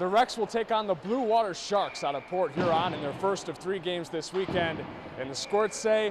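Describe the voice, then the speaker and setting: A high-pitched man at a moderate pace with ordinary pitch variation, over noticeable background noise. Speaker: sports reporter and anchor. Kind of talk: local TV news feature voiceover.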